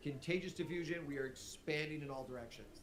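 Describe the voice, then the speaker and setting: A man speaks with a Midwestern accent, and the room echo is audible. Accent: Midwestern dialect, e.g. says milk with an E. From US Midwest. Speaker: teacher streaming test review. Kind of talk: live-streamed exam review lesson. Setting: livestream. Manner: animated, conversational.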